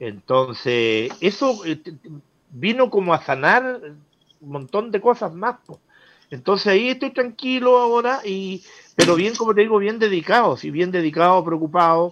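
Speaking at a fairly slow pace, a man with a high pitch makes very wide pitch swings and big swings in loudness. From southern Chile, Osorno area. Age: 60s. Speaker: community leader for the elderly. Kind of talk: interview.

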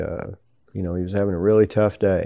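Over a quiet background, a man with a Southern US accent speaks in a dark, mellow tone. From US South, Tennessee. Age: 60s. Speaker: business founder and hunter. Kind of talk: interview. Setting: hunting ranch in Mexico. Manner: halting.

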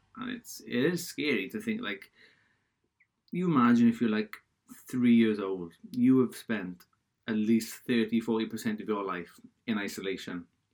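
Speaking with a Welsh accent at a fairly slow pace, a man keeps a medium pitch with ordinary pitch variation and leaves long, frequent pauses. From Wales. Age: 20s. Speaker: podcaster. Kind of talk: casual solo chat. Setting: home office with laptop audio. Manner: rambling, casual.

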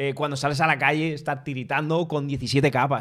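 A man speaks in a monotone, flat intonation at a fairly high pitch on a very clean recording with a silent background. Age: 30s. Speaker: tech podcast co-host. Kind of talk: casual chat. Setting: studio, streamed live on video.

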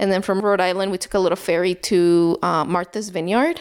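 A woman talks at a fairly quick pace on a very clean recording with a silent background. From El Salvador. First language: Spanish. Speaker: new mother and neighbor. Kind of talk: casual interview. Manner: frequent fillers and laughter.

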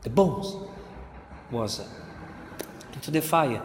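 A man speaks with an Italian accent at a fairly high pitch, with very wide pitch swings. Noticeable background noise runs under his voice. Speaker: preacher. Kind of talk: sermon. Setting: church. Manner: halting.

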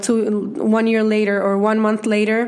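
Someone speaks at a fairly slow pace in a Spanish accent. Background noise is noticeable. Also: woman. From Venezuela. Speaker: podcast co-host. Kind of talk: casual chat.

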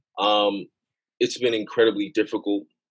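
A dry, close sound with no echo, a moderate pace and a New York accent. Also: man. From Queens, New York, Jamaican immigrant parents. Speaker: gun violence policy director. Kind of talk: podcast interview.

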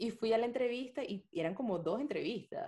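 With a Venezuelan accent, the dark, mellow voice moves at a moderate pace and has vocal fry. Its pitch swings very widely. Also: woman. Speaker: podcast co-host. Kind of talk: casual chat.

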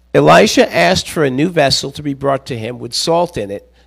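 Fairly quick and fairly high-pitched, a man speaks with vocal fry and very wide pitch swings. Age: 60s. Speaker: visiting preacher and pastor coach. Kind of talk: sermon. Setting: church with congregation. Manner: halting, many fillers.

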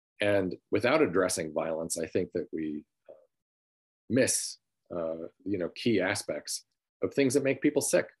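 A man's fairly low voice with an American accent, lively intonation and big swings in loudness, at a fairly slow pace with long, frequent pauses, dry and close with no echo against a quiet background. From US Midwest (Sanilac County, Michigan). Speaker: nurse practitioner and social worker. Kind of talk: lecture. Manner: halting, many fillers.

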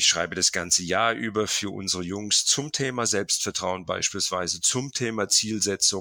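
A man with a fairly low voice and a bright, sharp tone speaks with hardly any pauses. The recording is very clean, the background silent. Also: ordinary pitch variation, moderate pace. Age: 50s. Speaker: football academy founder. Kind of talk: interview.

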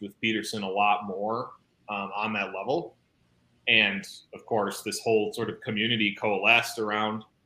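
A man with an American accent, fairly low in pitch, bright and sharp in tone, flat and monotone at a moderate pace, in a very clean recording with a silent background. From US Midwest. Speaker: YouTuber discussing theology. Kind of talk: casual chat. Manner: halting.

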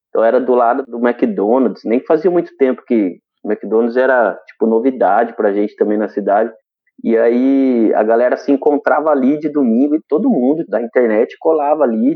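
A man has an ordinary speaking voice, medium pitch, ordinary pitch variation and a moderate pace. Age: 30s. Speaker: public servant and motivational speaker. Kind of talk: casual chat. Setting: live stream.

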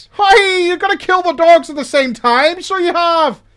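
This is a put-on character voice with an Irish accent as part of the act, pitched extremely high. The pace is moderate. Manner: soothing.

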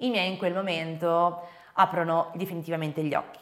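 At a moderate pace, a woman speaks with an ordinary speaking voice and fairly even intonation. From Venice, Italy. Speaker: eating disorder awareness content creator. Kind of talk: interview testimony.

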